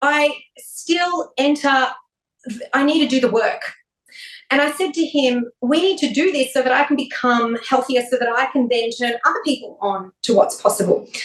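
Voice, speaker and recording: A woman talks in a high-pitched voice with an Australian accent. Her pitch varies in an ordinary way. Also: moderate pace, very even loudness. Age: 40s. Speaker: wellness expert and TV presenter. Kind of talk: casual interview chat.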